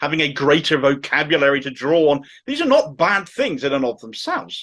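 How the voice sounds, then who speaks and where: Against a quiet background, a man with a strong Cornish accent speaks with lively intonation, a fairly high pitch and a bright, sharp tone. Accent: thick Cornish. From Cornwall, England. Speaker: political commentary YouTuber. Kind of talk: political commentary monologue.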